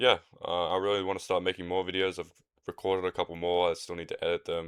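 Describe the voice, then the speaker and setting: With an Australian accent, a man speaks at a very fast pace. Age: 20s. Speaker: podcaster. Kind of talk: casual solo podcast monologue. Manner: relaxed, rambling with fillers.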